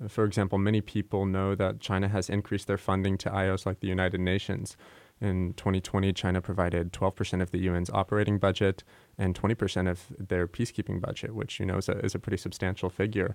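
Very fast and monotone, a man speaks in a very deep, low pitch at very even loudness on a very clean recording with a silent background. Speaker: university student. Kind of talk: academic podcast interview.

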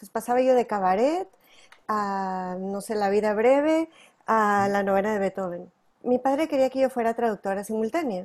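A woman with an ordinary speaking voice talks at a moderate pace, her fairly high pitch varying in an ordinary way while her loudness swings widely. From northern Mexico. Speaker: tap and flamenco dancer and teacher. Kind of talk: interview.

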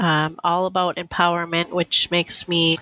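With an Upper Midwest accent, a woman speaks at a fairly low pitch in a monotone, flat intonation. The sound is dry and close with no echo. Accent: Upper Midwest American. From northwestern Wisconsin. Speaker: library director. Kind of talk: interview conversation.

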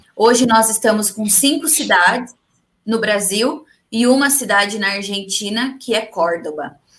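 With an ordinary speaking voice, a woman of fairly high pitch talks at a fairly slow pace with ordinary pitch variation. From interior São Paulo state, Brazil. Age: 30s. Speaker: entrepreneur, networking group leader. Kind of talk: live-stream interview.

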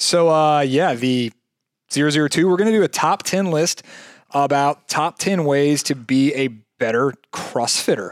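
In an ordinary speaking voice with an American accent, a man speaks at a fairly slow pace and a fairly high pitch, with ordinary pitch variation and very even loudness. The recording is very clean, dry and close, with no echo and a silent background. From Jacksonville, Florida. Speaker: fitness coach and podcast co-host. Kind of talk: casual chat.

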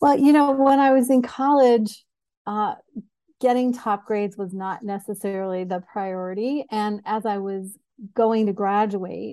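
A woman's medium-pitched voice with a dark, mellow tone and fairly even intonation. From US Northeast (New York State, Syracuse). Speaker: executive coach. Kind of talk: podcast interview.

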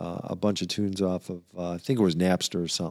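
On a very clean recording with a silent background, a man speaks in a dark, mellow tone. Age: 60s. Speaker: music fan, father of hosts. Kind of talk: casual chat. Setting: home basement studio.

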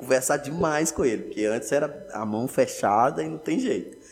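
This man speaks at a moderate pace with a fairly high pitch, lively intonation and vocal fry. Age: 20s. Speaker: entrepreneur, food shop owner. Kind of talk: casual interview.

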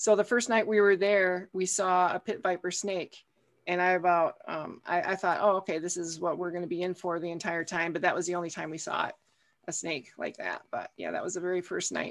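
With an Upper Midwest US accent, a woman talks at a fairly quick pace in a fairly low pitch with fairly even intonation, recorded very cleanly against a silent background. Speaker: author and podcaster. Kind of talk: casual chat, interview.

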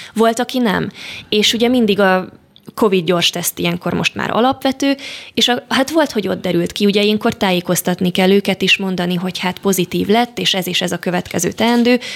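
A woman speaks in a normal speaking voice at medium pitch. Her pace is moderate and her pitch variation ordinary. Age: 20s. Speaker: medical student. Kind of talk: radio interview. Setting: studio.

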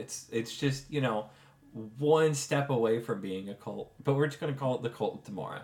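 This man has a plain, everyday voice with a fairly high pitch. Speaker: game master running tabletop RPG. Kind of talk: tabletop RPG session with narration. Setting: in person around a table.

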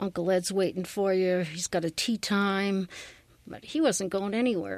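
Recorded dry and close with no echo, a woman with a New England accent speaks at a medium pitch and moderate pace. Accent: New England American. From Massachusetts. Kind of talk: testimony.

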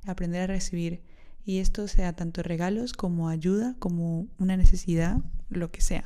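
This woman's voice sits at a medium pitch with a dark, mellow tone. Her intonation stays flat and monotone. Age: 20s. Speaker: podcast host. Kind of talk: solo podcast monologue.

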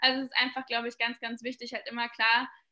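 The voice is a woman's, pitched high. It has a bright, sharp tone. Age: 20s. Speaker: content creator and founder of an education platform. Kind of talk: interview.

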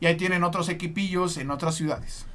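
Audible room echo surrounds a man with a high pitch and a bright, sharp tone. His intonation is monotone and flat. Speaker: sports podcast host. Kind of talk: casual chat with storytelling.

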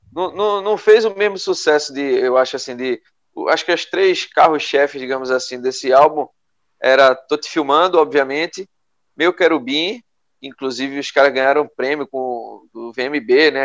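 At a moderate pace, a man speaks in an unremarkable speaking voice with a fairly high pitch and ordinary pitch variation. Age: 30s. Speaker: podcast co-host. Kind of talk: casual chat.

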